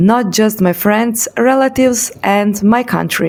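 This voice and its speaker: Fairly high pitch from a woman, with noticeable background noise. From Europe. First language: not English. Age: 30s. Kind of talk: personal vlog narration.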